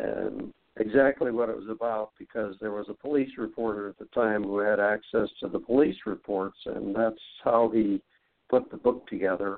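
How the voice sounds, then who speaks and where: Using an ordinary speaking voice, a man talks at a moderate pace and a fairly low pitch with fairly even intonation. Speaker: author on the Constitution. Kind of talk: interview.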